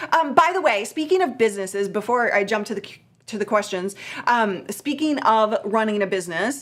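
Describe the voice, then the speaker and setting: A woman with a fairly high pitch talks at a fairly quick pace in an animated tone, her loudness swinging widely. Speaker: live streaming coach. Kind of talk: live stream Q&A. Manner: fast.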